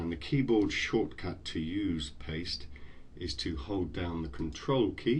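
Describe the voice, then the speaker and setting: Very slow and very deep, a man's voice carries vocal fry and lively intonation, with audible echo from the room. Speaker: tutorial narrator. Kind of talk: screen-recorded software tutorial.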